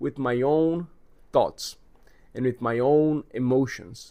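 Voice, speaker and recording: His medium-pitched male voice carries lively intonation. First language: Portuguese. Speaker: vlogger. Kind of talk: casual monologue vlog.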